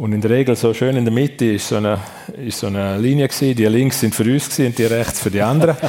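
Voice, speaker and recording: Against noticeable background noise, a man with a medium pitch speaks at a very fast pace with fairly even intonation. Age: 50s. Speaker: sports and tourism executive. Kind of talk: live radio talk show interview. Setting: restaurant event venue with live audience.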